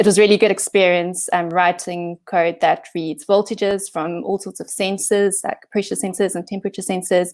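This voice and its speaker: A woman's medium-pitched voice in a South African accent, at a moderate pace with fairly even intonation, on a very clean recording with a silent background. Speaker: software engineering manager. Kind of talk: conference talk. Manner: hesitant, many fillers.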